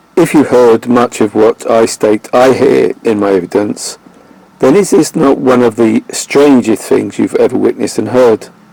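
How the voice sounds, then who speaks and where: A man at a moderate pace, very even in loudness, in dry, close sound with no echo and noticeable background noise. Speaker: video blogger. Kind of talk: scripted narration. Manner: monotone.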